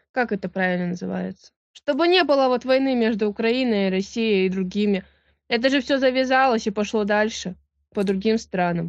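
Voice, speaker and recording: A woman's fairly high-pitched voice at a moderate pace, with ordinary pitch variation against a quiet background. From Russian Far East; Russia. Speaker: railway worker. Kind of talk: casual chat. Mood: hesitant, unsure. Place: home room. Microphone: video call.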